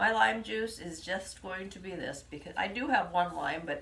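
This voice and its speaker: Noticeable background noise sits behind a woman's voice. She speaks at a fairly slow pace with lively intonation. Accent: American. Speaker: home cooking livestream host. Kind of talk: live cooking demonstration.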